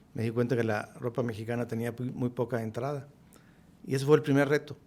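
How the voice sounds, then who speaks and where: Very fast male speech at a medium pitch, the intonation fairly even. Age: 60s. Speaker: businessman. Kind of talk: podcast interview.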